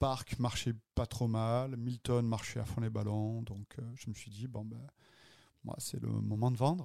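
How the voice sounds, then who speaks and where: A man's dark, mellow voice at medium pitch, very slow and fairly even in intonation, with big swings in loudness, on a very clean recording with a silent background. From southern France, Avignon and Marseille. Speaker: restaurateur and podcast co-host. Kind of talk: casual chat.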